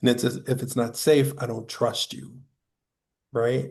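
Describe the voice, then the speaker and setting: This man's voice has a dark, mellow tone and is somewhat breathy. He speaks at a fairly slow pace against a quiet background. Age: 50s. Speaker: workforce speaker. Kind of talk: panel discussion.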